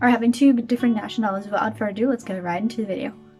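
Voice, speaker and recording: A woman speaks at a fairly high pitch with ordinary pitch variation. Noticeable background noise can be heard. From Germany. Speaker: YouTuber. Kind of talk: vlog monologue.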